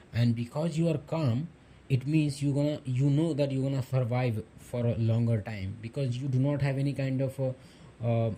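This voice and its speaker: A man talks at a moderate pace and a medium pitch. His voice is dark, mellow and somewhat breathy, with fairly even intonation. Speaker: self-help YouTuber giving advice to men. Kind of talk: motivational monologue.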